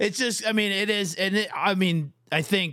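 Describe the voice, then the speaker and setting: A man with an American accent and an unremarkable speaking voice talks at a fairly slow pace with lively intonation, in a very clean recording with a silent background. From Minnesota, Fairmont area. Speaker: podcast host, coach. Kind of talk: casual chat.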